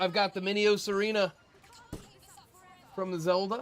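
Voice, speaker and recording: Loud and high-pitched, a man speaks. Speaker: gaming streamer. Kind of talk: casual gaming livestream chat.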